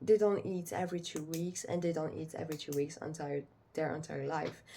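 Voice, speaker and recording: With a French accent, a woman speaks at a moderate pace and a fairly low pitch. Her tone is dark and mellow, with ordinary pitch variation. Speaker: pet owner vlogger. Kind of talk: casual vlog, unedited talk to camera. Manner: halting, many fillers.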